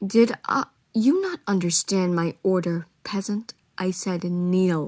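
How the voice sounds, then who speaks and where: A woman speaks in a booming, put-on character voice at a medium pitch and a fairly slow pace. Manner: booming, commanding, haughty.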